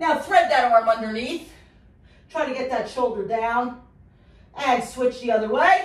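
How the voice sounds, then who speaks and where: Audible room echo surrounds a woman's voice. Her pitch is high and her pace fairly slow. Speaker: fitness instructor. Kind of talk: workout instruction. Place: gym. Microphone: camera far.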